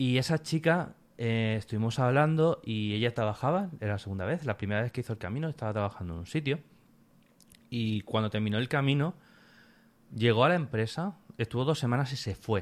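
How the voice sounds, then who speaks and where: This man has a normal speaking voice at a medium pitch. He moves at a fairly quick pace with lively intonation. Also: very clean recording, silent background. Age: 30s. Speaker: pilgrim recounting a hiking trip. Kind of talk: casual interview.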